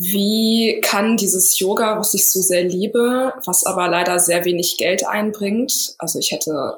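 Using a plain, everyday voice, a woman speaks at a medium pitch with fairly even intonation. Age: 30s. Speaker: yoga teacher and somatic coach. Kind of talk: interview.

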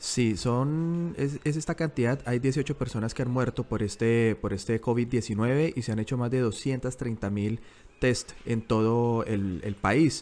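Speaking at a very slow pace with hardly any pauses, a man talks at medium pitch with ordinary pitch variation. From Colombia, Bogotá. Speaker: journalist and podcast co-host. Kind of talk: casual news discussion. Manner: halting, with frequent repetitions.

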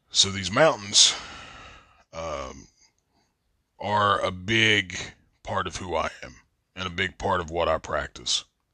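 Over a quiet background, a man speaks at a very slow pace with long, frequent pauses. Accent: Appalachian. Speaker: podcast host. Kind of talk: casual monologue.

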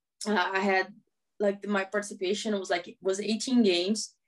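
A woman's medium-pitched voice, flat and monotone, at a moderate pace. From Brazil, small town. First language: Portuguese. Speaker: professional footballer. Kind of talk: interview.

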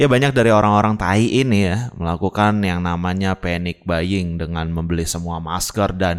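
Pitched very deep and low, a man speaks with ordinary pitch variation. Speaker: podcast host. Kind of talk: casual monologue rant. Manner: animated, heated.

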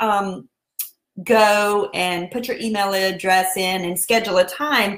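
A woman speaks with a Southern US accent. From US South, South Carolina. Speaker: podcast host and online seller. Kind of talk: casual Facebook Live style talk. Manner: friendly, upbeat, chatty.

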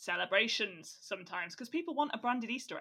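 In a very clean recording with a silent background, a woman speaks fairly quickly in a bright, sharp tone with lively intonation. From England, Staffordshire. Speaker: podcast co-host, marketing professional. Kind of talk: casual chat.

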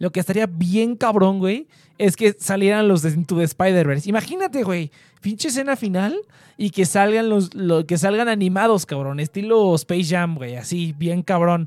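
A man speaks with a high pitch, ordinary pitch variation and a moderate pace. The recording is very clean with a silent background, dry and close with no echo. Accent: Mexican. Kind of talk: casual chat. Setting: livestream. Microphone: far from the mic.

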